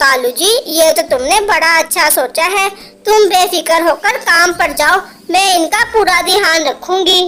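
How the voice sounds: A woman uses a cartoonish character voice at an extremely high pitch and a fairly slow pace.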